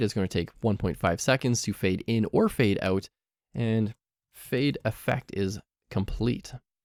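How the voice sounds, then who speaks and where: A man in a normal speaking voice talks at a medium pitch with ordinary pitch variation, on a very clean recording with a silent background and a dry, close sound with no echo. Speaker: programming instructor. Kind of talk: tutorial.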